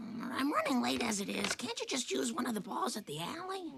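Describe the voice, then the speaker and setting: The voice is a cartoonish character voice delivered at a fairly quick pace. Loud background noise fills the clip. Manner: tired, mildly scolding.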